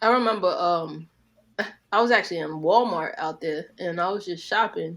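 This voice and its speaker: A woman with a New York accent and a fairly low pitch talks with big swings in loudness. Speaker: podcast co-host. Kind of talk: casual chat.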